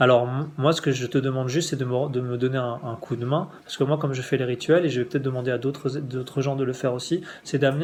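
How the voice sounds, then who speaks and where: Talking at a very fast pace, a man uses a fairly high voice. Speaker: spiritual teacher. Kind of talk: spiritual instruction. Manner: halting.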